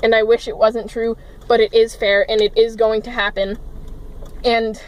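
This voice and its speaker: A woman talks fairly quickly in an American accent, with noticeable background noise behind her. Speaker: vlogger. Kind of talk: emotional rant vlog. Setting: in a car, parked. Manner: loud, yelling.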